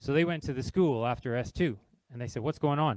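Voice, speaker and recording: This man speaks at a medium pitch and a fairly quick pace, with ordinary pitch variation. The sound is dry and close, with no echo. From Canada. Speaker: games industry talk speaker. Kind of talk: informal talk to live audience. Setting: stage with audience.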